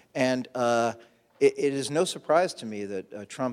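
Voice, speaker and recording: A man with an American accent, at a moderate pace. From Brooklyn, New York. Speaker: political reporter. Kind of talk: panel discussion. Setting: stage with audience.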